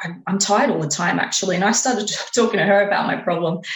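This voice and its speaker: A woman with an Australian accent speaks at a very fast pace and medium pitch with ordinary pitch variation, amid noticeable background noise and audible room echo. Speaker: exercise and lifestyle coach. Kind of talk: interview.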